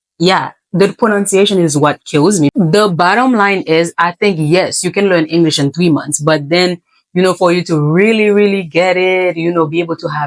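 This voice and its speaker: Recorded with a dry, close sound and no echo, a woman with a Haitian accent speaks at a moderate pace in a fairly low pitch. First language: Haitian Creole. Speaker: English teacher. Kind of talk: casual talk to camera.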